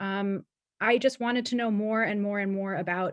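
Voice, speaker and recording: Against a quiet background, a woman uses a plain, everyday voice with an American accent, fairly even intonation and a moderate pace. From Pennsylvania, US. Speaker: alumni panelist, policy professional. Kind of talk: panel discussion.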